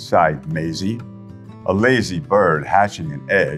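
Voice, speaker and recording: Music plays in the background as a man speaks in a gentle tone. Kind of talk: children's storybook reading. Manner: engaging, gentle.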